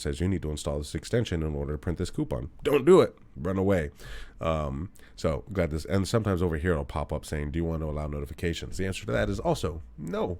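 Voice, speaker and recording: A man talks at a very fast pace. His pitch is very deep and low, with vocal fry. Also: ordinary pitch variation. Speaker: computer instructor. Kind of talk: tutorial.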